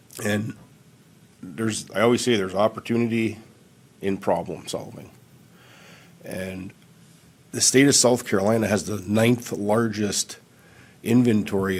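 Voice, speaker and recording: With an Upper Midwest accent, a man speaks at a fairly slow pace in a fairly low pitch, his intonation fairly even, with long, frequent pauses. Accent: Upper Midwest American. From Michigan. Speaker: candidate for planning commission, former public works director. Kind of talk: public comment at council meeting. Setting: county council meeting.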